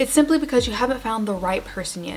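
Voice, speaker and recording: Background music runs throughout. Over it, a woman talks in a high pitch. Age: 20s. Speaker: YouTuber. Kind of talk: comedic casual talk to camera.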